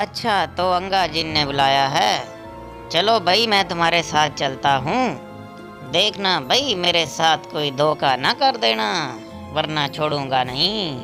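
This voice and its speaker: Over clear background music, a cartoonish character voice speaks at a fairly slow pace. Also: man, fairly high pitch for a man. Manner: loud, exclaiming.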